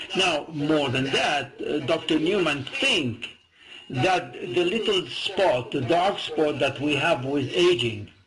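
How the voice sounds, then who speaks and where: The speaker goes at a very slow pace with ordinary pitch variation and very even loudness, against noticeable background noise. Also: man, fairly high pitch for a man. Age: 70s. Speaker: medical spokesperson and doctor. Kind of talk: interview.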